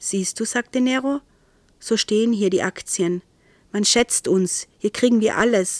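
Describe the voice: Ordinary pitch variation shapes this plain reading aloud.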